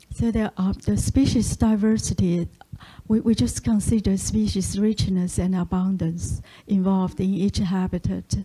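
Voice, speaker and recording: A woman's somewhat breathy, dark and mellow voice at medium pitch, with a non-native accent and very even loudness. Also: ordinary pitch variation, moderate pace. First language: Chinese. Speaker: statistician. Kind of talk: lecture. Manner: halting, many fillers.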